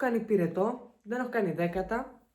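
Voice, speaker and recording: A woman with a dark, mellow tone speaks at a medium pitch and moderate pace with ordinary pitch variation, and audible room echo can be heard. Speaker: vlogger. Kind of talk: casual vlog chat.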